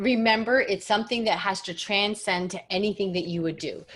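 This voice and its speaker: Fairly high in pitch, a woman speaks in an animated tone. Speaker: business coach. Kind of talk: coaching call.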